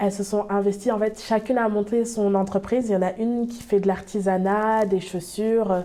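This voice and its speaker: Her medium-pitched voice stays monotone and flat as the woman talks. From France, Bordeaux. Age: 20s. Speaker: small business owner. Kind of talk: interview. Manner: hesitant, many fillers.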